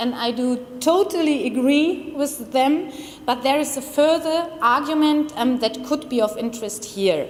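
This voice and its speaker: A woman with a strong German accent speaks at a moderate pace and a high pitch with ordinary pitch variation, amid noticeable background noise and audible room echo. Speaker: criminology researcher. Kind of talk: conference presentation. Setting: conference room with audience. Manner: formal.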